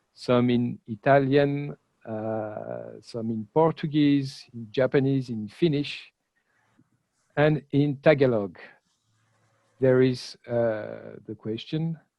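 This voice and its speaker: A man with a French accent at a medium pitch, dark and mellow in tone, very slow with long, frequent pauses and ordinary pitch variation, in a dry, close recording with no echo. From France. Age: 50s. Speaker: comics critic and journalist. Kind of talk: online lecture. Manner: halting with many fillers.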